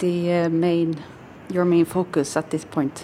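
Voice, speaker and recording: A woman with a fairly low pitch. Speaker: podcast host. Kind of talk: interview.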